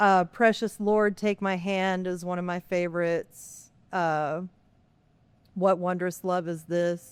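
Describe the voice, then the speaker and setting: On a very clean recording with a silent background, a woman talks in a Texas accent at a medium pitch. Her pace is very slow and her intonation is monotone and flat. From Texas, Lockhart. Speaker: pastor. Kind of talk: interview. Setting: podcast recording.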